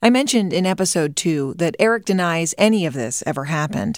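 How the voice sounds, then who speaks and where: A woman with an unremarkable speaking voice talks at a moderate pace and fairly low pitch. Her intonation is lively, on a very clean recording with a silent background. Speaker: podcast host and reporter. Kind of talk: interview conversation. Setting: studio.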